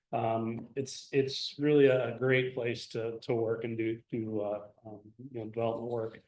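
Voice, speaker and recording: A man speaks at a medium pitch. Audible room echo fills the recording. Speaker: industry engineer giving guest lecture. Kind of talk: guest lecture. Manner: loud; informal, animated.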